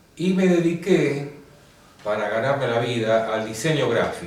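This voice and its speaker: A man at a very slow pace with lively intonation, with audible room echo and noticeable background noise. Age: 70s. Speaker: painter and graphic designer. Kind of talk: interview.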